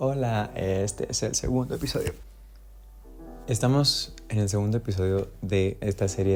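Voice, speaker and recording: The man's voice has a dark, mellow tone. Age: 20s. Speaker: singer-songwriter and YouTuber. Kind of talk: reading aloud own book with commentary. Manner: casual, conversational.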